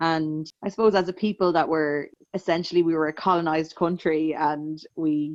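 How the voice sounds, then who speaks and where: In a Dublin accent, a woman speaks at a moderate pace with a fairly low pitch. Her intonation is monotone and flat. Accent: Dublin Irish. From Ireland, Dublin. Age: 30s. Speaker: singer-songwriter. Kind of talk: interview conversation.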